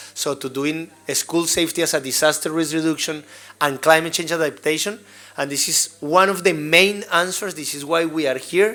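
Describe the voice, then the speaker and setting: With a strong Colombian accent, a man talks at a moderate pace in a fairly high, bright, sharp voice with fairly even intonation. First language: Spanish. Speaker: school safety trainer. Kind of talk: workshop presentation.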